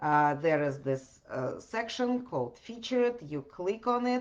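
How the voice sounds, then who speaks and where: A woman speaks with a Russian accent at medium pitch and a fairly slow pace. Her pitch swings very widely. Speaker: podcast host. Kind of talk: podcast monologue answering questions. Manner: hesitant with many fillers.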